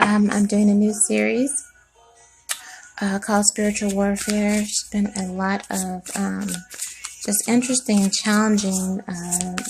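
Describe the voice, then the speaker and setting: Noticeable background noise is present. Against it, a woman talks at a fairly slow pace. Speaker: tarot reader. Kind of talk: tarot reading. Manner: soft-spoken.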